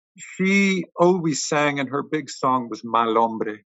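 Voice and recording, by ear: A man speaks slowly at a medium pitch with ordinary pitch variation and a fairly bright tone. The sound is dry and close, with no echo.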